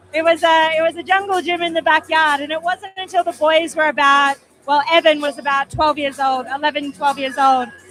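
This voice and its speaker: With music in the background, the speaker talks with hardly any pauses. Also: fairly quick pace. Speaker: boxing commentator. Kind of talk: live commentary.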